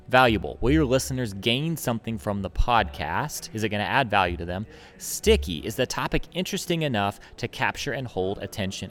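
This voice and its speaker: A man with a medium-pitched voice and vocal fry talks fairly quickly, his pitch swinging very widely. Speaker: marketing podcast host. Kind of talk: solo tutorial podcast. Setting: recording in a public place.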